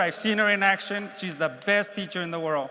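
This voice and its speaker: With a raised, projected voice, a man speaks at a moderate pace and a high pitch with ordinary pitch variation, and the room echo is audible. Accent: Spanish. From Mexico, moved to Los Angeles as a child. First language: Spanish. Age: 60s. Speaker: keynote speaker, space agency program executive. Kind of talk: keynote speech. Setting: conference stage with audience.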